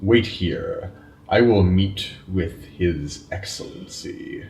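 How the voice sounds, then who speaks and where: A man uses a put-on character voice. It's fairly low in pitch and delivered at a very slow pace. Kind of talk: solemn stately speech. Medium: actual play. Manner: formal, imperious.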